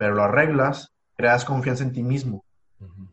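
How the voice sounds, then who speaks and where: Fairly even intonation in a somewhat breathy voice. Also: man. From Mexico, Ensenada, Baja California. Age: 20s. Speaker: entrepreneur. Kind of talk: casual interview.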